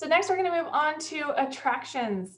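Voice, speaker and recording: Lively intonation marks a woman's speech at a medium speed. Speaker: university lecturer. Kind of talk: lecture. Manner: audible heavy breathing.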